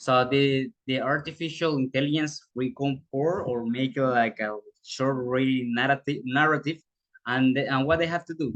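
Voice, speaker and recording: Speaking at a fairly slow pace with a Spanish accent, a man has a medium pitch and ordinary pitch variation. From Panama. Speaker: student teacher. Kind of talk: presentation of internship report. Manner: halting.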